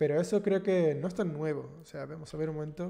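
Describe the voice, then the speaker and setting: A man's dark, mellow tone with fairly even intonation against a quiet background. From Andalusia, Cádiz, southern Spain; Andalusia. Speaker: programming YouTuber, senior developer; programming YouTuber. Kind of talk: live stream chat with viewers. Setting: live stream. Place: home room.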